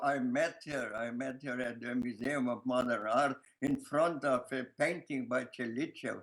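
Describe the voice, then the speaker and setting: With a strong Lithuanian accent, a man speaks in a fairly high pitch. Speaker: filmmaker. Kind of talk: interview answer. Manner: hesitant, many fillers.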